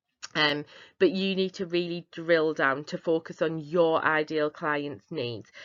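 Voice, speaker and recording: With a Northern English accent, a woman talks at a fairly low pitch and moderate pace with ordinary pitch variation. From northeast England. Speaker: business founder. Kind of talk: webinar presentation.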